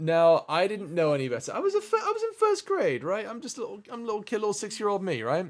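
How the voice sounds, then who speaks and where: Delivered with a British accent, the speech runs at a very fast pace with hardly any pauses. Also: man. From England. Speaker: streamer. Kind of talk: casual chat. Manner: halting.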